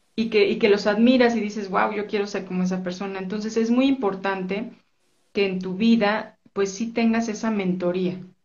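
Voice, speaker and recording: A woman's somewhat breathy, medium-pitched voice at a moderate pace, monotone and flat, with audible room echo. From Mexico City. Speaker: entrepreneur. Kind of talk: interview.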